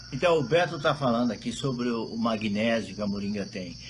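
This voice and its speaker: A man speaks at a moderate pace and a fairly low pitch. His pitch varies in an ordinary way, and the room echo is audible. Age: 60s. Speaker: moringa producer. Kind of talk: casual chat; testimony.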